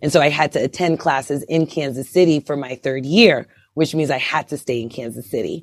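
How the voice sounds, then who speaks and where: A woman's very deep, low voice in a New York accent, fairly quick, with ordinary pitch variation. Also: very clean recording, silent background. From Brooklyn, New York. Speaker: OB/GYN physician. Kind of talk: interview. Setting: podcast interview.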